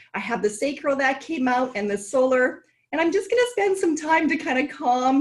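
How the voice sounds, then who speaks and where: Intonation is lively as a woman speaks in a high pitch. Her pace is moderate. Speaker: tarot card reader. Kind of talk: tarot forecast reading.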